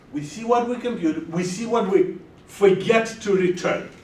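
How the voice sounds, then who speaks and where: A man talks at a fairly slow pace. Audible room echo and noticeable background noise fill the recording. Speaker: lecturer. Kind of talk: lecture. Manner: loud; animated.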